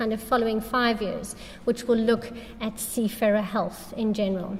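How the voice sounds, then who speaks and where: A woman talks at a moderate pace over noticeable background noise, with audible echo from the room. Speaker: charity representative. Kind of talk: conference talk.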